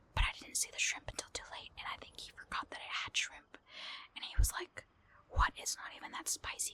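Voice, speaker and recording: Someone whispers at a fairly quick pace. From partly Mexican heritage. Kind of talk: casual talk to camera.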